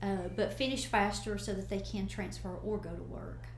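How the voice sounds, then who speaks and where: Audible room echo follows a woman speaking with an Appalachian accent at a moderate pace. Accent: Southern US (Appalachian). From US South, Northeast Tennessee. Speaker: college president. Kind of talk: interview. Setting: studio.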